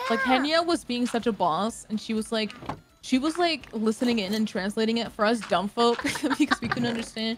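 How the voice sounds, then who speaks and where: A fairly high-pitched woman's voice, animated in tone, with lively intonation, a fairly quick pace and noticeable background noise. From Canada. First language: not English. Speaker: streamer. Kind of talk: casual chat while gaming.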